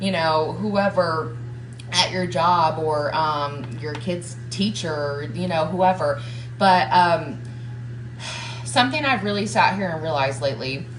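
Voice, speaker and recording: A woman with a slight Southern US accent and a very deep, low pitch speaks at a fairly slow pace with lively intonation, amid audible room echo and noticeable background noise. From US South, Georgia. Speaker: motivational coach. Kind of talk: live stream motivational talk. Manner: casual, filler-heavy.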